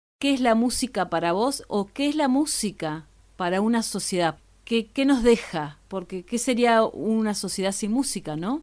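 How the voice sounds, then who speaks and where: In a very clean recording with a silent background, a woman with an Argentine accent speaks at a fairly high pitch, fairly slowly, with lively intonation. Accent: Argentine Spanish (rioplatense voseo). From Argentina, Patagonia. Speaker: podcast host. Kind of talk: interview.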